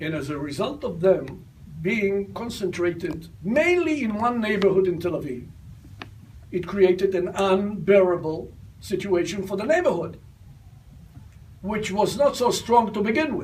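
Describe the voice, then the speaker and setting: Amid audible room echo, a man with a high pitch and lively intonation speaks at a fairly slow pace, leaving long, frequent pauses. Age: 80s+. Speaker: retired army general. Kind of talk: talk answering audience questions.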